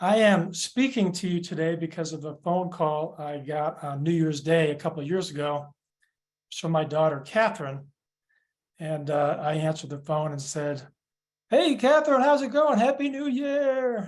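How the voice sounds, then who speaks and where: With a Midwestern American accent, a man speaks at a moderate pace in a high pitch with lively intonation, the background quiet. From Michigan. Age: 60s. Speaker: mental health advocate. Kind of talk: keynote talk. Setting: video call from home office.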